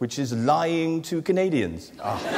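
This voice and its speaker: A speaker with a British accent swings very widely in pitch. Noticeable background noise runs underneath. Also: man. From England. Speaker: comedian. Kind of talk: stand-up. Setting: stage with audience. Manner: hesitant, with frequent fillers.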